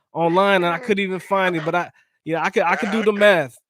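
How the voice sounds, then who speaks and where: A man with an American accent talks at a very fast pace and high pitch. His intonation is fairly even, and the recording is very clean with a silent background. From San Diego, California. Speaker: interviewer. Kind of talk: interview.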